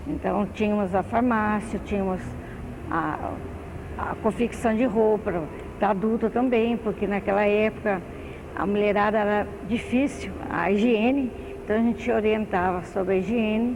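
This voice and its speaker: Over noticeable background noise, a woman at medium pitch talks at a fairly slow pace with fairly even intonation and long, frequent pauses. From Brazil, southern Minas Gerais. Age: 60s. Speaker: retired municipal social worker. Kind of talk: oral history interview. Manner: halting.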